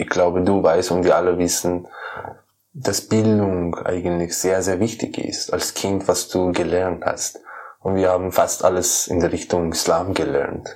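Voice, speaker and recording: A man with a Persian accent talks at a very slow pace. His pitch is very deep and low. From Iran, Kermanshah. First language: Persian (speaking German). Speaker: musician and poet. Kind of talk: interview. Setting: his room. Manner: halting.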